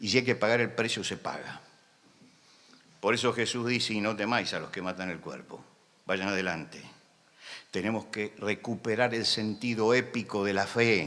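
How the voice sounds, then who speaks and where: A man talks at a moderate pace with a bright, sharp tone and a fairly low pitch. His intonation stays fairly even, broken by long, frequent pauses. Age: 70s. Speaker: preacher. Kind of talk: sermon. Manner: impassioned, emphatic.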